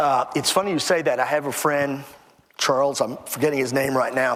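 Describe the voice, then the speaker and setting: The man talks fairly quickly. He has an American accent. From Texas (Temple). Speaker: author and historian. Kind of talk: interview.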